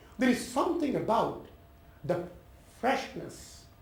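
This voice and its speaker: There is audible room echo and noticeable background noise as a man talks at a moderate pace with very wide pitch swings. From India, Calcutta. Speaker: professor. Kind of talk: talk to an audience.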